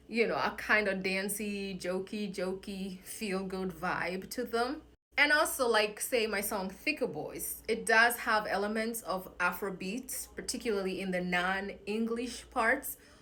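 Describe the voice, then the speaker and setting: Bright, sharp tone with a Kenyan accent, a fairly slow pace and hardly any pauses. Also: woman, medium pitch for a woman, ordinary pitch variation. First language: Kikuyu. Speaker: singer-songwriter. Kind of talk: casual vlog talk.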